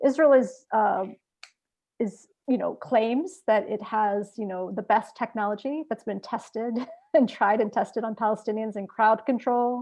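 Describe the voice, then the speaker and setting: A plain, everyday voice, this woman's is fairly high in pitch and fairly slow in pace, with ordinary pitch variation. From US, Palestinian-American. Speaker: activist panelist. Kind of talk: panel discussion.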